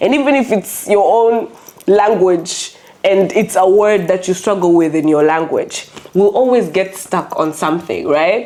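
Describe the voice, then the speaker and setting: A woman with a medium pitch and an animated tone speaks at a fairly slow pace, her intonation lively and her loudness very even, over noticeable background noise. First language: not English. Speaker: podcast co-host. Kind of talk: casual chat.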